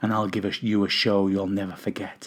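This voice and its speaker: Using a put-on character voice, a man talks at a very fast pace. His pitch is fairly low, with a monotone, flat intonation. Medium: read story. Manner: seductive.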